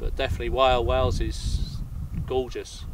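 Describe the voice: With audible room echo around him, a man speaks at a moderate pace and medium pitch, his pitch moving little.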